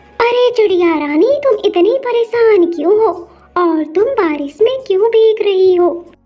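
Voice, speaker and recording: In a cartoonish character voice, a female-sounding speaker talks at a fairly slow pace with extremely high pitch. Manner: gentle, caring.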